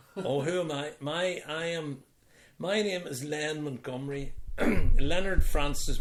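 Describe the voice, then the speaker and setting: The speaker has a Belfast accent and talks at a fairly slow pace. Pitch varies in an ordinary way. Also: man. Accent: Belfast Northern Irish. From Northern Ireland, Belfast (Falls Road). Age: 60s. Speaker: retiree being interviewed by family. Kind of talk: casual interview over wine.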